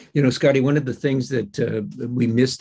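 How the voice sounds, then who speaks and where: Speaking with a Canadian accent and vocal fry, a man keeps a moderate pace and fairly even intonation against a quiet background. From Ontario. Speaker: diplomat, former politician; former politician. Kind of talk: panel discussion. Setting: video call. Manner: halting, many fillers. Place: office. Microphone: video call.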